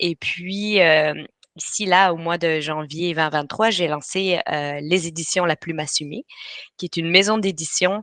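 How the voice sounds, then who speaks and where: A woman's fairly low voice with a slight Belgian accent, fairly slow pace and fairly even intonation, dry and close with no echo. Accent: slight European (Belgian) French. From Belgium, Brussels. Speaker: writing coach. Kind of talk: webinar presentation. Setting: live online webinar. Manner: hesitant, many filler sounds.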